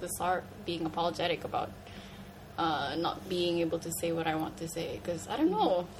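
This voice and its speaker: Against noticeable background noise, a woman speaks at a moderate pace and a fairly low pitch. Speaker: podcast co-host. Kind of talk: casual chat. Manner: halting.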